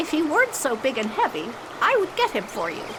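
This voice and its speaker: Over loud background noise, someone uses a put-on character voice, high-pitched and fairly quick. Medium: audio drama.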